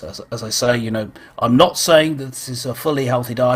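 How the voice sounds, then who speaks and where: A British-accented man's voice. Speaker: online church show host. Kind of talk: casual chat. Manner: halting.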